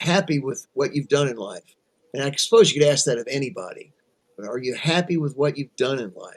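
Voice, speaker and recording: Speaking fairly quickly, a man uses lively intonation at a fairly high pitch, with big swings in loudness. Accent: American. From Kentucky, US. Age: 60s. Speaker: musician. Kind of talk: interview. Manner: halting.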